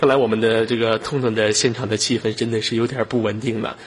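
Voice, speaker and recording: Speaking at a very fast pace, a man uses a medium pitch. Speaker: online voice chat room host. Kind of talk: casual live chat with callers. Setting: online voice chat room. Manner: animated, laughing often.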